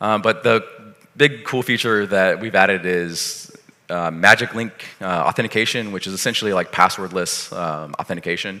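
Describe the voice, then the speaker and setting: His voice sits very deep and low. The man speaks at a moderate speed. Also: ordinary pitch variation. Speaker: software developer, conference keynote speaker. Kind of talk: conference keynote talk. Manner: casual, filler-heavy.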